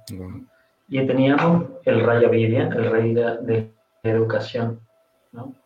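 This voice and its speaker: A man with a medium-pitched voice speaks at a very slow pace, his intonation fairly even and his speech broken by long, frequent pauses. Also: big swings in loudness. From Argentina. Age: 40s. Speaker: graphic designer for devotional books. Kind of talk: interview.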